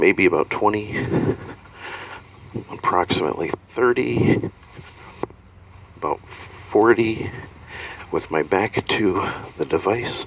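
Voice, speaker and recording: A man speaking very slowly, with long, frequent pauses and noticeable background noise. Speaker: magician reviewing a PA system. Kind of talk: product review demo. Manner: halting, many fillers.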